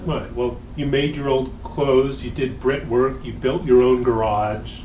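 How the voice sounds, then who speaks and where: A man's medium-pitched voice at a fairly slow pace, with fairly even intonation over noticeable background noise. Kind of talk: casual talk to camera.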